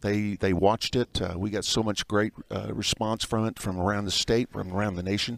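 A man's unremarkable speaking voice, fairly low in pitch and fairly even in intonation, at a fairly quick pace, in a dry sound with no echo. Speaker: guest. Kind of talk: interview answer. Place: bar. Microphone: headset.

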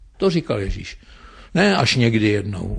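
Against a quiet background, a man talks with vocal fry and lively intonation. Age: 70s. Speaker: philosophy professor. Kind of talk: radio interview.

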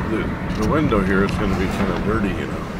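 A man at a fairly slow pace, a dry sound with no echo, and loud background noise. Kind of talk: casual narration. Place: car. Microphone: phone near.

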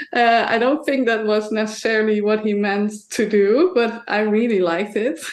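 A woman with a Dutch accent at a fairly high pitch and moderate pace, with hardly any pauses, very even loudness, ordinary pitch variation and noticeable background noise. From Netherlands. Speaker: painter. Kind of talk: interview.

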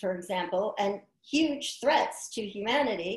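In an American accent, the speech moves at a fairly slow pace with audible room echo over a quiet background. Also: woman. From New York City (Queens); New York City. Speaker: environmental health scientist; guest. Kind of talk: interview. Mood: earnest, concerned. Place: home room. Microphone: video call.

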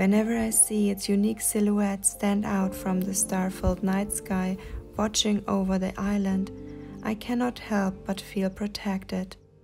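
A woman speaks at a fairly slow pace in a calm tone, her intonation monotone and flat and her loudness very even, as music plays in the background. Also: medium pitch for a woman. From Germany. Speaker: nature video maker. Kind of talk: calm nature vlog narration. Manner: slow, calm.

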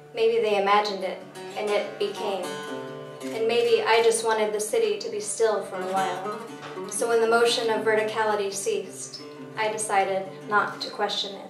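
A woman's fairly high, fairly evenly intoned voice amid noticeable background noise. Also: moderate pace. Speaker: poet. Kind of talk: poetry reading. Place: stage.

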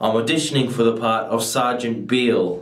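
Audible room echo surrounds a fairly slow delivery against a quiet background. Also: man. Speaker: actor at an audition. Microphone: webcam.

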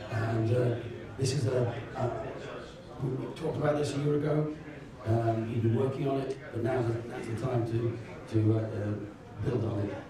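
Someone talks at a fairly slow pace in a space with strong room echo and noticeable background noise. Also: man. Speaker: software company speaker. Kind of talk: conference talk with audience Q&A. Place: hall. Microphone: camera far.

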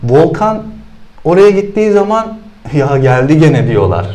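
At a fairly slow pace, a man speaks in a fairly high pitch with very wide pitch swings. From Turkey, Sakarya (Hendek); Turkey. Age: 30s. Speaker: CrossFit athlete; guest. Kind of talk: interview. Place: studio. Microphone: lapel.

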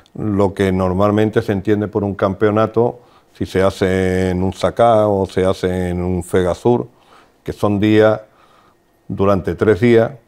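Fairly even intonation comes with a fairly slow pace and a dark, mellow tone. The background is quiet. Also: man, fairly low pitch for a man. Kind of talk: interview answer. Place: studio. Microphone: lapel.

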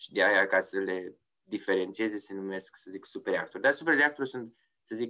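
A man's bright, sharp voice at a medium pitch. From Romania, Oradea. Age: 30s. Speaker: yacht insurance sales executive and designer. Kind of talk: interview. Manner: hesitant, many fillers and repetitions.

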